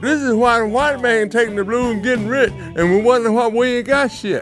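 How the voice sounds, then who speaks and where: A man at an extremely high pitch and a moderate pace, with music in the background. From Arkansas, American South. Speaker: blues singer. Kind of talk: interview answer. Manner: blunt, profane.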